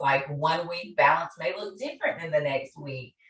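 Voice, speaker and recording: The tone is animated. It comes with a Southern US accent. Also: woman. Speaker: therapist and conference speaker. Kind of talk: conference presentation. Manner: loud, animated.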